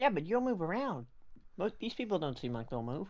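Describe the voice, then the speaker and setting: Putting on a character voice, a man with a high pitch talks at a fairly quick pace with very wide pitch swings. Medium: actual play. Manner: chummy, playful.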